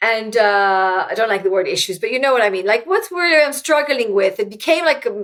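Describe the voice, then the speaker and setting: A woman's fairly high voice with lively intonation, in an Israeli accent. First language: Hebrew. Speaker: author and former tech executive. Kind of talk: interview conversation. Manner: halting, with frequent repetitions.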